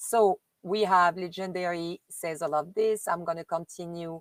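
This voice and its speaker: At a fairly slow pace, a woman with a French accent speaks at a fairly low pitch with ordinary pitch variation, the sound dry and close with no echo. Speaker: live streamer reading messages to viewers.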